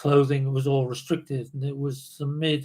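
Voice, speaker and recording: A man's somewhat breathy, fairly high voice at a fairly slow pace, in a very clean recording with a silent background. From southern England, Dorset. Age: 70s. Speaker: former backpacker and adventurer. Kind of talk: casual interview. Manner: halting.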